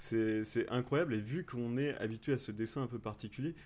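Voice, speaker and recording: On a very clean recording with a silent background, a man speaks at a medium pitch. He keeps a fairly quick pace with ordinary pitch variation. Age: 30s. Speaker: podcaster. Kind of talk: recommendation segment. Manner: halting, repeats words.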